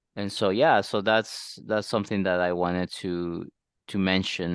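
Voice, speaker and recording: A man speaks at a fairly low pitch with fairly even intonation. The sound is dry and close with no echo, over a quiet background. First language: not English. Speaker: dating podcast co-host. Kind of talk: casual chat. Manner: halting.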